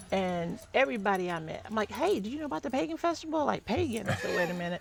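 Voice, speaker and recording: Over noticeable background noise, a woman with a Southern accent speaks fairly quickly in a medium pitch. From US South. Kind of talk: casual chat.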